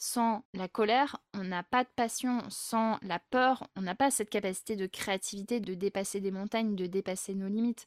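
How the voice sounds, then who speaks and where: A woman's plain, everyday voice at a medium pitch, moderate pace and fairly even intonation with hardly any pauses, in a dry, close, very clean recording with no echo and a silent background. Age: 30s. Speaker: group facilitator. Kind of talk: interview conversation.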